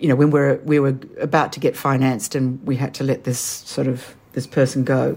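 A woman's voice sits at a very deep, low pitch, with a dark, mellow tone. Her intonation is monotone and flat. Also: moderate pace. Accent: Australian. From Australia. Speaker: film and TV producer. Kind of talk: interview.

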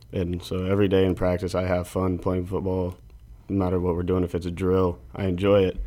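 A man with an American accent speaks at a fairly quick pace in a very deep, low voice, his dark, mellow tone held in a monotone, flat delivery. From rural Nebraska. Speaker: college football player. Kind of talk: interview.

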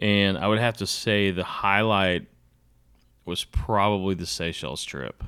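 A man's fairly low-pitched voice with a bright, sharp tone and an American accent, at a fairly slow pace with ordinary pitch variation, on a very clean recording with a silent background. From Dallas, Texas. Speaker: artist and angler. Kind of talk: interview conversation.

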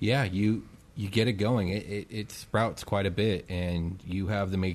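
Fairly level intonation in a natural reading voice

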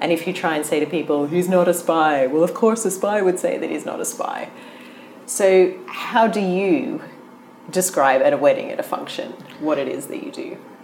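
At a moderate pace, a woman with a medium-pitched voice makes very wide pitch swings over noticeable background noise. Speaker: interviewer, guest host. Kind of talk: casual interview.

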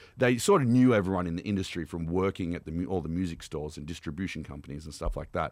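A man's very deep, low voice at a very fast pace, in a very clean recording with a silent background. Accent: Australian. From Australia, Canberra. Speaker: shark attack survivor. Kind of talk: casual chat. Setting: studio.

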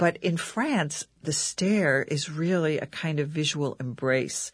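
Somewhat breathy, a woman with an American accent talks at a very deep, low pitch with fairly even intonation over a quiet background. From United States. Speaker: journalist and author. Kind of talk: radio interview.

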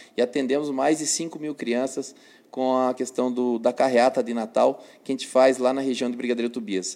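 At a moderate pace, a man speaks in a dark, mellow tone of medium pitch with fairly even intonation. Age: 30s. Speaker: elected city councillor. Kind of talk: interview. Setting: newsroom live stream.

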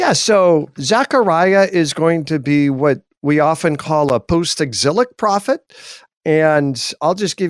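A man talks at a fairly slow pace with fairly high pitch and ordinary pitch variation. The recording is very clean, with a silent background and a dry, close sound free of echo. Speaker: theology professor. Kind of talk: radio interview on Bible teaching. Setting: live radio broadcast. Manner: animated.

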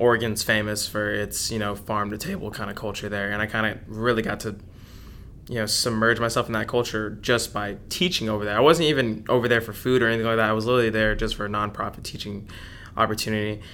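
A man with an American accent talks very fast at a fairly low pitch, in a bright, sharp tone with fairly even intonation. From Dallas, Texas. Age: 20s. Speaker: chef and food truck owner. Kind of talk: interview.

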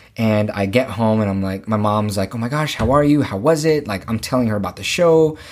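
A man with an American accent, an unremarkable speaking voice and fairly low pitch, at a fairly quick pace. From Los Angeles area, California. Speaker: musical theatre actor. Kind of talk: casual interview chat.

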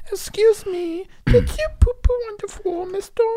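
This put-on character voice is squeaky and extremely high in pitch. It moves at a moderate pace. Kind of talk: baby talk. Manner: silly, cutesy.

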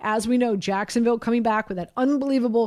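This is a woman's voice. Her pitch is fairly high with ordinary variation. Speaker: radio host. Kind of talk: casual sports talk radio. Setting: radio studio. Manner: animated, chatty.

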